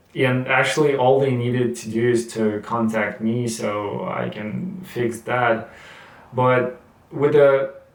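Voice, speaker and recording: A man speaks at a very slow pace with a non-native accent. Noticeable background noise can be heard. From Russia. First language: Russian. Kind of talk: casual talk to camera. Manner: halting, with many fillers and repetitions.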